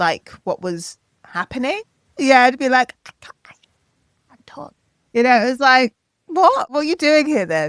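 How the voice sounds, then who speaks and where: A woman with a British accent and a high pitch, at a moderate pace, with very wide pitch swings, big swings in loudness and long, frequent pauses. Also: dry, close sound with no echo. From Wales. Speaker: singer, DJ and producer. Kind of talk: interview conversation.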